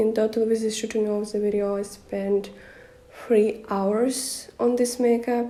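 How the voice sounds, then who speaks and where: A woman with a non-native accent, a fairly high pitch, monotone, flat intonation and a fairly slow pace, amid noticeable background noise and audible room echo. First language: Russian. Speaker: makeup vlogger. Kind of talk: vlog narration.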